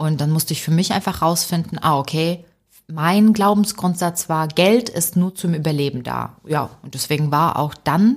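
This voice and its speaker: A somewhat breathy woman speaks at a fairly slow pace in a fairly low pitch. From Ukraine, raised in Germany from age eight. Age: 30s. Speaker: author and comedian. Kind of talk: podcast interview. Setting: remote recording.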